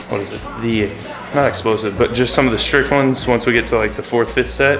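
Faint music plays in the background. A man talks at a fairly quick pace with fairly even intonation. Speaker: fitness vlogger. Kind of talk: casual vlog chat. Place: garage. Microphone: phone near.

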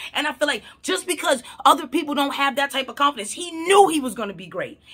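A woman talks at a very fast pace with an animated tone, high pitch and lively intonation over a quiet background. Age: 30s. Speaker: mental health counselor and vlogger; vlogger. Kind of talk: casual vlog monologue. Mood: opinionated, incredulous. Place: home room. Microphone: phone near.

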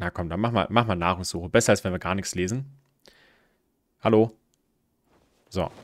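A man's voice with ordinary pitch variation and long, frequent pauses, dry with no echo, over a quiet background. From southern Baden-Württemberg, Germany. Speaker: gaming streamer. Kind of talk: live gameplay commentary. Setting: live stream. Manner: casual, hesitant with fillers. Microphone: studio mic.

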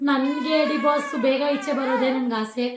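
Her pitch is high and her intonation fairly even as a woman speaks over noticeable background noise. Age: 20s. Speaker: vlogger. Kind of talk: casual Q&A chat.

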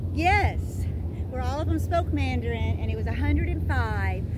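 A woman talks at a moderate pace. The sound is dry with no echo, but there is loud background noise. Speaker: yoga instructor. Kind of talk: casual vlog chat and yoga class instruction. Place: beach.

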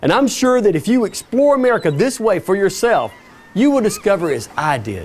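A man talks at a fairly quick pace. His pitch swings very widely. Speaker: TV presenter. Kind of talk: TV travel show host presentation. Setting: outdoors. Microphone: lapel.

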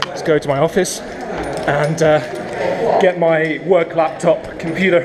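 Amid loud background noise, a man speaks at a high pitch with fairly even intonation. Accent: English. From England. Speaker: English teacher and vlogger; English teacher, vlogger. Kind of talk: casual vlog narration. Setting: outdoors, commuting by skateboard.

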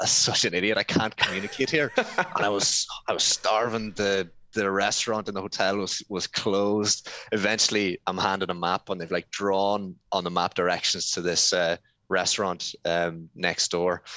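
Moderate pace, fairly even intonation and a fairly low voice from a man, with a dry sound, no echo and a quiet background. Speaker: remote podcast guest. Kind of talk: interview answer. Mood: cheerful storytelling with laughs. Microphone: headset.

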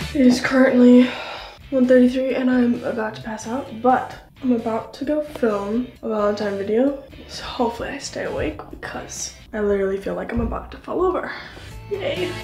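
A woman talks at a moderate pace with big swings in loudness. Faint music plays in the background, and the room echo is audible. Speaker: vlogger. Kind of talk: casual vlog chat. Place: home room. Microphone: phone near.

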